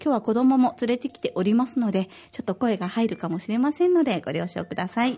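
Her voice fairly high in pitch, a woman talks at a very fast pace with lively intonation. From Osaka, Japan. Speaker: podcast host. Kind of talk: casual chat. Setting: studio.

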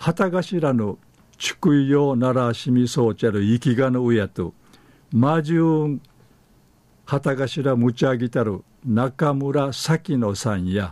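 With an Okinawan accent, a man of medium pitch speaks very slowly, his intonation lively. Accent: Okinawan (Uchinaaguchi speaker). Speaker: dialect news presenter. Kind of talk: news reading in Okinawan dialect.

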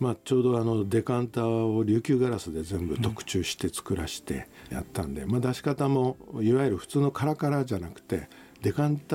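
Dark and mellow in tone, a man speaks fairly quickly at a medium pitch with lively intonation. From Tokyo, Japan. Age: 60s. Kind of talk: casual interview chat. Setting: airport lounge studio.

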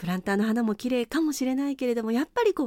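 Her pitch swings very widely as this woman speaks. The sound is dry and close, with no echo. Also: very clean recording, silent background. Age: 50s. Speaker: radio host. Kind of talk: radio talk show.

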